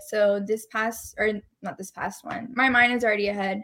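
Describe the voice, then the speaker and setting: A woman with an American accent at a moderate pace. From Dallas, Texas. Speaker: entrepreneur, event organizer. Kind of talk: casual interview.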